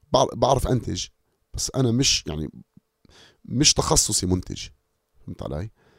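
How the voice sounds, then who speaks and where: A man speaks at a medium pitch with vocal fry, very wide pitch swings, and big swings in loudness. Long, frequent pauses break up his speech, and the sound is dry and close with no echo. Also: moderate pace. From Amman, Jordan (Palestinian family). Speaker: rapper and songwriter. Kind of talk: interview conversation.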